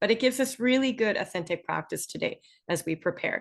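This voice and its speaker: A woman with a Canadian accent, lively intonation and a fairly quick pace. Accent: typical Canadian. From Northern Ontario, Canada. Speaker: online English instructor. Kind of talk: webinar presentation. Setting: online Zoom webinar. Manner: clear, measured.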